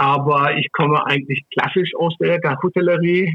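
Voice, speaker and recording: Using an ordinary speaking voice, a man talks at a fairly slow pace with fairly even intonation. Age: 60s. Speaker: hospitality executive. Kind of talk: interview.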